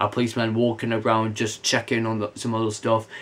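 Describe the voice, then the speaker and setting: Over noticeable background noise, a man talks at a fairly quick pace with a medium pitch. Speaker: video reviewer. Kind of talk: casual review monologue. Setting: home bedroom recording. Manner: fast; stumbling over words.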